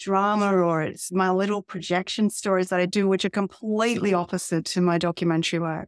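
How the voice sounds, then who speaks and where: A woman talks at a fairly quick pace in an Australian accent, with medium pitch. The recording is very clean and dry, close, with no echo and a silent background. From regional Australia (Albury, NSW). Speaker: documentary filmmaker. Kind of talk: interview.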